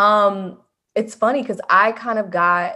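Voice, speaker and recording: In a very clean recording with a silent background, a woman with an American accent speaks in a bright, sharp tone with ordinary pitch variation. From US South, Memphis, Tennessee. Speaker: music industry professional. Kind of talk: interview.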